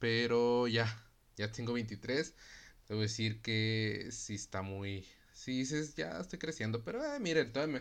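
Speaking in a Mexican accent, a man talks at a fairly slow pace with ordinary pitch variation. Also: medium pitch for a man. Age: 20s. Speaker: podcast host. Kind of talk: casual monologue. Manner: casual, filler-heavy.

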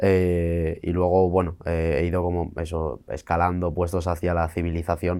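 A dark, mellow voice moves at a fairly slow pace with monotone, flat intonation and hardly any pauses on a very clean recording with a silent background. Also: man, very deep, low pitch for a man. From Spain, rural Asturias. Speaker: freestyle rap battle champion. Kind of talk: interview.

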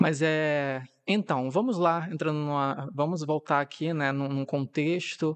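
Over a quiet background, a man with a fairly high pitch talks very slowly with ordinary pitch variation, the sound dry and close with no echo. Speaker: podcast host. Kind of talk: casual solo monologue.

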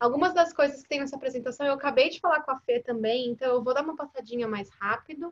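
A high-pitched woman at a very fast pace, with hardly any pauses. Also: ordinary pitch variation. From Brazil. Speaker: chiropractor and university dean. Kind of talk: online panel interview and presentation. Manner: halting, searching for Portuguese words.

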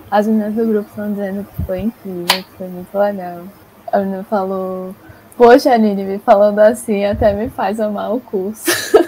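Against noticeable background noise, a woman of medium pitch talks at a moderate pace with fairly even intonation but big swings in loudness. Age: young. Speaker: psychology student, podcast host. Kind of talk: interview.

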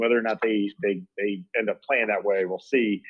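A man talks in a normal speaking voice. His pitch is fairly low. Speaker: co-host, sports bettor. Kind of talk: casual sports chat.

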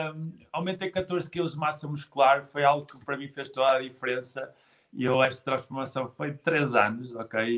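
In an ordinary speaking voice, a man with fairly high pitch talks at a moderate pace, his intonation fairly even and his loudness swinging widely. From northern Portugal, Guimarães. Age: 20s. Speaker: physical education graduate and fitness trainer. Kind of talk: casual interview on a live stream.

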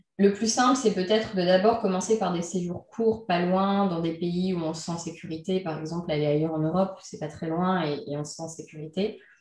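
A somewhat breathy voice speaks at a moderate pace with ordinary pitch variation. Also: woman. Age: 30s. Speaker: entrepreneur and freelance trainer. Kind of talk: interview. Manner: hesitant, many fillers.

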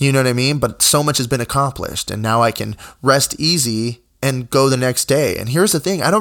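This man has a normal speaking voice at a medium pitch, talking at a fairly quick pace with lively intonation in a very clean recording with a silent background. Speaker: podcast host and musician. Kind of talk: solo podcast monologue. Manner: casual, many filler words.

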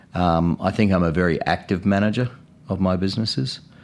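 The recording is very clean with a silent background as a man with a New Zealand accent and a very deep, low pitch speaks at a moderate pace with fairly even intonation. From New Zealand, Christchurch. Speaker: business owner. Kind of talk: interview.

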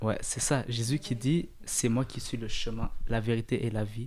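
A man speaks at a medium pitch with a dark, mellow tone. His pace is fairly slow. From Eritrea. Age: 20s. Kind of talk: casual faith discussion.

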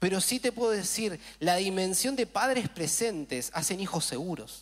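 An animated tone marks this man's speech. His pitch swings very widely. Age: 30s. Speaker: pastor. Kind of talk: sermon.

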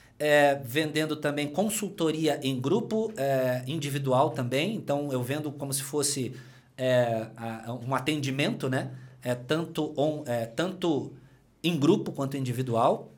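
A man with a fairly high pitch talks amid audible room echo. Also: ordinary pitch variation, fairly slow pace. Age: 40s. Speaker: personal trainer and entrepreneur. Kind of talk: casual interview chat. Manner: energetic.

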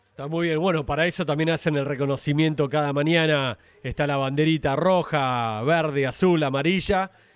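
A man with an Argentine accent speaks at a moderate pace with hardly any pauses. His pitch is fairly high, and his intonation stays fairly even. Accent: Rioplatense Argentine Spanish. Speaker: radio host. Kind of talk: radio interview.

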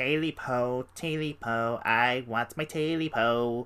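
A man puts on a character voice. His pitch is medium and his pace moderate. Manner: hissing.

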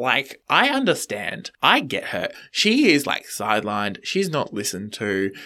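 A man with an Australian accent speaks at a fairly high pitch in a bright, sharp tone, his pitch swinging very widely. The recording is very clean, with a silent background. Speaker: podcast guest, fellow podcaster. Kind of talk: casual chat.

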